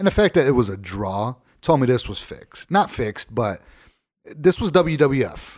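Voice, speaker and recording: Talking at a moderate pace, a man with an American accent shows very wide pitch swings and big swings in loudness. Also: medium pitch for a man. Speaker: podcast host. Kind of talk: casual chat.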